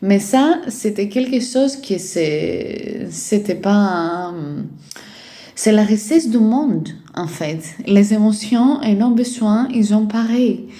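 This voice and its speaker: A woman with a Greek accent, fairly high in pitch, at a very slow pace, with lively intonation and a dark, mellow, somewhat breathy tone. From Greece. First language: Greek (speaking French). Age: 20s. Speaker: life and parenting coach. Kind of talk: casual vlog monologue. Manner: hesitant, many fillers.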